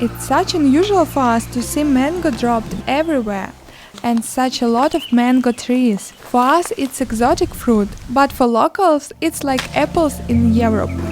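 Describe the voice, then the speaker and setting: Against noticeable background noise, a woman speaks at a high pitch. Her intonation is lively and her pace moderate. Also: very even loudness. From Ukraine. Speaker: travel vlogger. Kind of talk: travel vlog narration.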